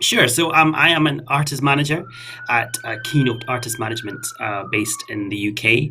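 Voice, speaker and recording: At a moderate pace and medium pitch, a man with a slight Scottish accent speaks with ordinary pitch variation amid noticeable background noise and audible room echo. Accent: mild Scottish. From west of Scotland. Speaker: artist manager. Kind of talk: casual interview.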